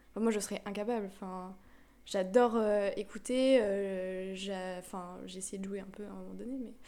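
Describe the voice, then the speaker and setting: Big swings in loudness, a dark, mellow tone, fairly even intonation and a moderate pace, with audible room echo. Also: woman, medium pitch for a woman. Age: 20s. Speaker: architecture student. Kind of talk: casual chat.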